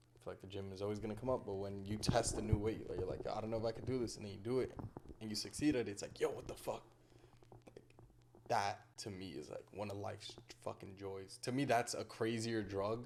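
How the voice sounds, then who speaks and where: This man has a fairly low pitch and talks at a very fast pace. His loudness swings widely. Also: fairly even intonation. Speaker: podcast co-host being interviewed. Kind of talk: casual interview chat.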